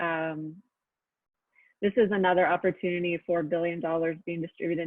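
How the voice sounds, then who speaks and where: Fairly low in pitch with fairly even intonation, this woman has a normal speaking voice. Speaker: housing policy presenter. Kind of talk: webinar presentation. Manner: many filler ums.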